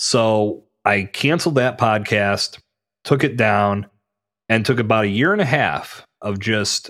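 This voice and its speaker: This man speaks in a plain, everyday voice with an American accent. His medium pitch varies in an ordinary way, and his pace is fairly slow. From western Pennsylvania, US. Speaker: podcast host and podcast consultant. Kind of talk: casual interview.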